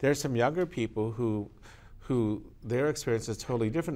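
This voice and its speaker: A man speaks in an unremarkable speaking voice. His medium pitch varies in an ordinary way. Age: 60s. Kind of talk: panel discussion on TV talk show.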